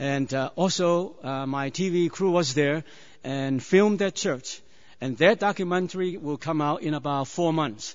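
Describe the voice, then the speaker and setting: Speaking with a Chinese accent, a man uses a fairly high voice and ordinary pitch variation. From China. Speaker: preacher. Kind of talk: sermon. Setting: church. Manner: halting.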